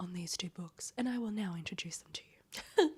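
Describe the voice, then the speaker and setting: A soft-spoken woman whispers in a somewhat breathy voice. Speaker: book vlogger. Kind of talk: casual reading vlog. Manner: soft, near-whispering; animated.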